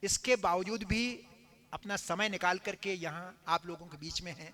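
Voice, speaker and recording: In a raised, projected voice, a man with a high pitch speaks with fairly even intonation. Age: 70s. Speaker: religious storyteller (katha narrator). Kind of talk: religious discourse to live audience.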